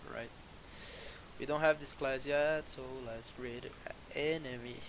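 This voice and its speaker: A man with a non-native accent speaks at a fairly slow pace. Audible room echo and noticeable background noise surround him. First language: not English. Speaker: programming tutorial creator. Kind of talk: coding tutorial. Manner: halting, many fillers.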